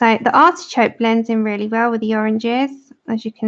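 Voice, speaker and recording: A woman with a London accent speaks at a fairly high pitch. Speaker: livestreaming colouring artist. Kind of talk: casual livestream chat with tutorial.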